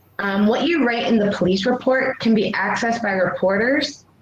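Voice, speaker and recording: Amid noticeable background noise and audible room echo, a woman speaks in a fairly high pitch with ordinary pitch variation. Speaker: workshop presenter, abuse survivor. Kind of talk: online workshop presentation. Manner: fast.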